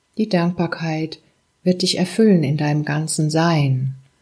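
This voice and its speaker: A woman's very deep, low voice, calm and soothing in tone, somewhat breathy, at a fairly slow pace with fairly even intonation. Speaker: meditation guide. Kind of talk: guided meditation. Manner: slow, calm, soothing, with long pauses; gentle, warm, intimate, addressing listener as du.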